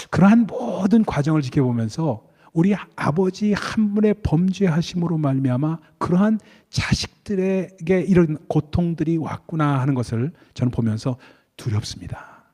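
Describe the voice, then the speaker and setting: Lively intonation moves through a dark, mellow tone at a fairly slow pace. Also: man, high pitch for a man. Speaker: pastor. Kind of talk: sermon. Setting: church.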